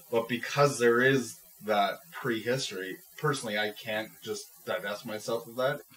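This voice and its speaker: Noticeable background noise under a man speaking at medium pitch, moderate in pace and fairly even in intonation. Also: big swings in loudness. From Scotland. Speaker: podcast co-host, film reviewer. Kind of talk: casual chat.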